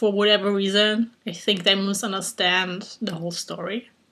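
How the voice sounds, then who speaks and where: A woman with a German accent, bright and sharp in tone, at a moderate pace. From Germany. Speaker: YouTuber. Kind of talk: casual vlog challenge. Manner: hesitant, many fillers.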